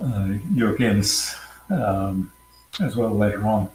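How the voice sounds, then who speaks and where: Over noticeable background noise, a man at medium pitch speaks with an American accent and ordinary pitch variation. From Queensland, Australia. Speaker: cybersecurity consultant. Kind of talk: interview. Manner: hesitant, many fillers.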